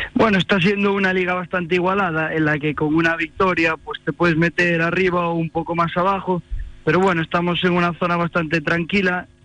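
Moderate-paced man with a high pitch and fairly even intonation, against noticeable background noise. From A Coruña, Spain. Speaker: amateur footballer and student. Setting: phone call.

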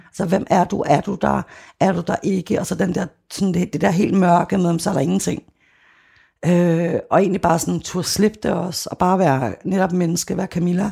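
A woman talks in a plain, everyday voice at a fairly quick pace. Her pitch sits fairly low. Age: 40s. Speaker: former sect member and activist. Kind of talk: interview testimony.

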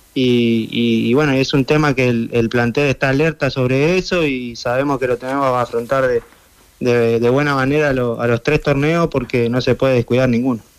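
A man's medium-pitched voice at a moderate pace, with fairly even intonation and very even loudness. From Argentina. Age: 30s. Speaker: footballer. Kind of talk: interview.

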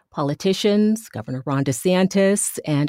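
A woman's fairly low, ordinary speaking voice at a moderate pace, with ordinary pitch variation and a dry, close sound with no echo. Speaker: podcast host. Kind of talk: interview for news podcast.

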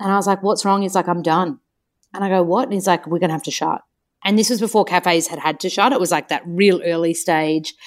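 A woman with an Australian accent talks at a very fast pace. Her pitch is medium, with ordinary variation. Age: 30s. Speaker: nutritionist and author. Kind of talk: casual chat. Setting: online call. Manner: animated.

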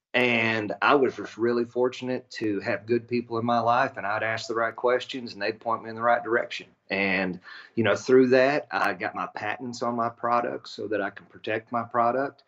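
A man with a West Texas accent at a moderate pace. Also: medium pitch for a man, fairly even intonation. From West Texas, near Abilene. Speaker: inventor and business owner, Air Force veteran. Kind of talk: radio interview. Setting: remote call.

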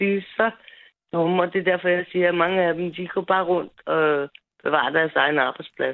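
Her pitch sits at a medium level for a woman, with ordinary variation. The pace is moderate. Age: 40s. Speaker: caller. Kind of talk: phone-in call.

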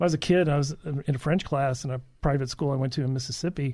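Somewhat breathy, a man speaks at a very fast pace and fairly high pitch. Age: 50s. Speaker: licensed professional counselor. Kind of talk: interview. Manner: halting.

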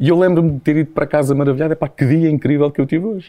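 A man's voice with a fairly high pitch. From Portugal, Santarém. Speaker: podcast host. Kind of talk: casual chat.

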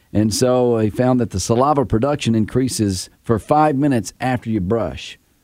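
A man with a normal speaking voice, medium pitch, ordinary pitch variation and hardly any pauses. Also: moderate pace. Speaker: radio host. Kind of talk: casual chat. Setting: studio.

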